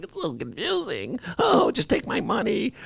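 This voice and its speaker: A man puts on a character voice. It is pitched high. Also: moderate pace. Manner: confused, whiny.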